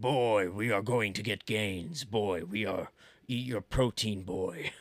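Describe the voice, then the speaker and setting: In a put-on character voice, a man speaks raspy and fairly low at a fairly slow pace. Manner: gruff.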